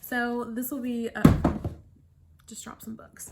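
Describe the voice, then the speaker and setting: A woman talks over noticeable background noise. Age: 20s. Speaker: book vlogger. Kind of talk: casual vlog to camera. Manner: chatty, hesitant with many fillers.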